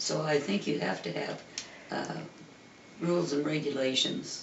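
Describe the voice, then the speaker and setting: Through noticeable background noise and audible room echo, a man with a fairly high pitch speaks at a fairly slow pace. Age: 90s. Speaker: parishioner. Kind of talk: oral history interview. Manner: halting.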